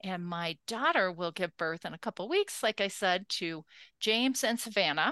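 A woman with an American accent speaks at a moderate pace and medium pitch, her intonation lively and her tone bright and sharp, in a dry, close sound with no echo against a quiet background. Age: 60s. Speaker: podcast host, women's leadership scholar. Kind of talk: interview about own life.

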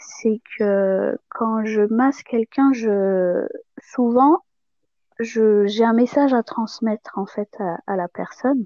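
At a very slow pace, a woman with a fairly high pitch speaks in a calm, dark, mellow tone with ordinary pitch variation. The sound is dry and close with no echo. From Madagascar. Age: 30s. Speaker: podcast guest. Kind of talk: personal testimony.

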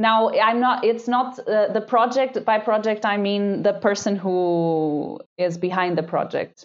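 The speaker has a Portuguese accent and ordinary pitch variation. The loudness stays very even, with hardly any pauses. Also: woman, fairly high pitch for a woman. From Portugal, Lisbon. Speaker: PhD student, marine microbiologist. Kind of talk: interview conversation. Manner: halting.

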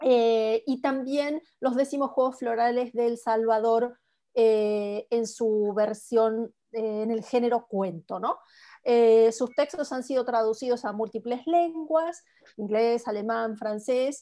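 Very slow, fairly high-pitched woman's voice with a dark, mellow tone and ordinary pitch variation, on a very clean recording with a silent background. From Argentina. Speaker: writer and book club moderator. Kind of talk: book club conversation.

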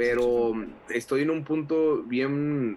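Fairly even intonation from a man, with noticeable background noise behind him. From Mexico, Monterrey (Nuevo León). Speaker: pastor and evangelist. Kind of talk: casual interview.

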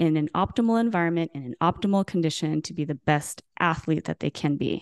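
A woman with a plain, everyday voice speaks at a fairly quick pace with a fairly low pitch and ordinary pitch variation, the sound dry and close with no echo over a quiet background. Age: 40s. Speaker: former elite gymnast and podcast co-host. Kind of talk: personal storytelling.

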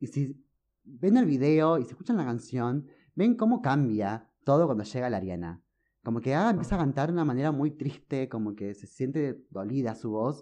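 Against a quiet background, a man speaks at a moderate pace and medium pitch with a dark, mellow tone and lively intonation. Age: 20s. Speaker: music fan guest. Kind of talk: casual chat.

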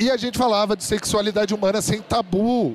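A man speaks in a high register at a moderate pace, with ordinary pitch variation. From Brazil, São José dos Campos, interior of São Paulo. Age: 30s. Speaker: podcast host and conference speaker. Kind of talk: live talk to an audience. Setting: stage with audience. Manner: animated.

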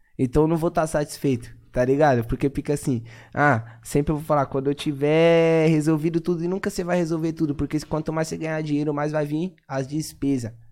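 A man with an unremarkable speaking voice, fairly quick pace and fairly even intonation, on a very clean recording with a silent background. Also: fairly high pitch for a man. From Zona Leste, São Paulo. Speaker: rapper and former train street vendor. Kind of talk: casual interview chat.

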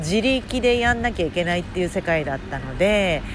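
Over music in the background and audible room echo, a woman speaks at a fairly quick pace with a fairly low pitch and very wide pitch swings. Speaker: podcast host and intercultural communication coach. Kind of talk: casual podcast monologue. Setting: outdoors.

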